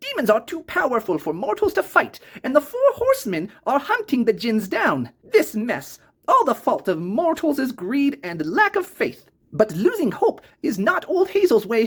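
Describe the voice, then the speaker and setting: At a moderate pace, a put-on character voice sounds nasal and high-pitched. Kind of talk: old grandmother voice. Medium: actual play. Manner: refers to herself in third person.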